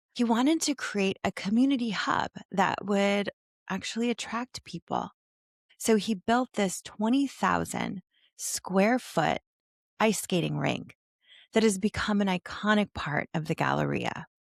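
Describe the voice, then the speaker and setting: Animated in tone, a woman with a slight Ohio accent speaks at a fairly slow pace and a medium pitch with ordinary pitch variation, in a dry, close sound with no echo on a very clean recording with a silent background. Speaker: retail nostalgia video host, former retail worker. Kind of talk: scripted narration.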